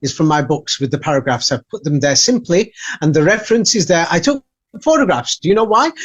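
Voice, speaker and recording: A man with an English accent speaks very fast at a high pitch. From England. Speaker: author and researcher. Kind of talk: interview. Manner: halting.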